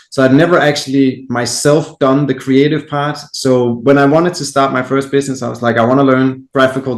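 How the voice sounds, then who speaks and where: A man with a Danish accent talks at a fairly quick pace, keeping a medium pitch and fairly even intonation. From Denmark. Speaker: entrepreneur. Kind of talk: podcast interview.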